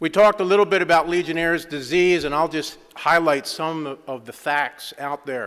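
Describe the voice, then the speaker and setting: A man speaks with a Philadelphia accent and fairly even intonation. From US Northeast, Philadelphia. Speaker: engineering consultant. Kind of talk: conference presentation. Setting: conference stage with audience.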